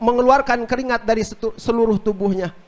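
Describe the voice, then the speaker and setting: Against noticeable background noise, a man with a Sundanese accent speaks fairly quickly at extremely high pitch with fairly even intonation. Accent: Sundanese-accented Indonesian. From West Java (Sundanese). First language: Sundanese (speaking Indonesian). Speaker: Islamic preacher. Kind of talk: religious talk on a radio outdoor broadcast. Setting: mosque gathering with audience, radio broadcast.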